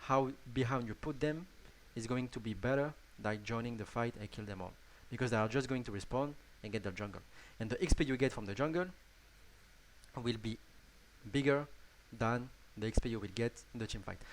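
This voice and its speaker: With a strong French accent, the speaker uses ordinary pitch variation and leaves long, frequent pauses. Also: man, medium pitch for a man, fairly quick pace. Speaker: gaming YouTuber. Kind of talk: tutorial. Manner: halting, many restarts and fillers.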